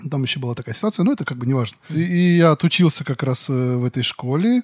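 A man's fairly high, somewhat breathy voice with lively intonation at a very fast pace, dry and close with no echo, in a very clean recording with a silent background. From Western Siberia. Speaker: animator. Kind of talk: casual interview.

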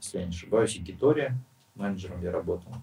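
A somewhat breathy voice with lively intonation. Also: man. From Russia, Western Siberia (Nizhnevartovsk). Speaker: bar owner and restaurateur. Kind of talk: casual interview. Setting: podcast studio.

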